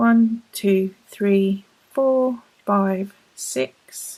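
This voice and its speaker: A woman speaks with a British accent in a medium pitch. Her tone is dark and mellow, with ordinary pitch variation. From United Kingdom. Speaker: crochet tutorial host. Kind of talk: instructional video narration, casual talk to camera. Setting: indoors, at home, working with yarn while talking.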